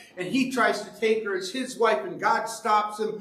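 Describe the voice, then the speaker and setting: Noticeable background noise sits behind the speech. A man with a high pitch talks at a moderate pace. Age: 60s. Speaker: evangelist preacher. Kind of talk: sermon. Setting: church with congregation, filmed. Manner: animated.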